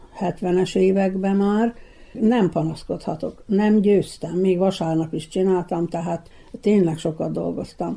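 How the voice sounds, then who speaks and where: A woman's dark, mellow voice at medium pitch, with fairly even intonation and a fairly slow pace. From Vojvodina, Serbia (Topolya area). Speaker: retired nine-pin bowler and painter. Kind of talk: interview. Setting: at her home.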